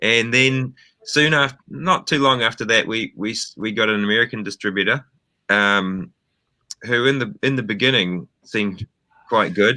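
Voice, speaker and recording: This man speaks with a New Zealand accent at a moderate pace. His tone is bright and sharp. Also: ordinary pitch variation. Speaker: film director. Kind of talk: interview. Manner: halting, many fillers.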